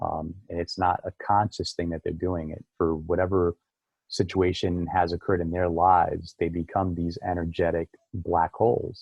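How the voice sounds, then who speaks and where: Over music in the background, a man with a very deep, low pitch speaks at a moderate pace in monotone, flat intonation. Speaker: acupuncturist. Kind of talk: casual chat.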